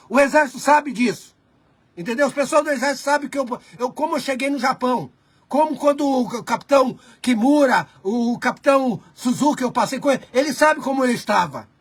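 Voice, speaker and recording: Pitched extremely high, the man speaks at a moderate pace with ordinary pitch variation. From Brazil. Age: 60s. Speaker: video chat host. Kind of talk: casual chat. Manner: halting, many false starts.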